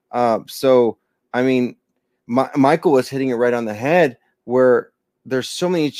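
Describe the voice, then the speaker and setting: A very clean recording with a silent background captures a man speaking at a moderate pace. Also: dry, close sound with no echo. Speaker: pastor. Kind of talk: Bible study teaching. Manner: halting.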